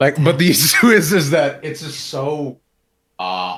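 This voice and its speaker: Vocal fry runs through this man's fairly high voice. He moves at a moderate pace with very wide pitch swings. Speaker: esports personality. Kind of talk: casual chat. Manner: loud; animated.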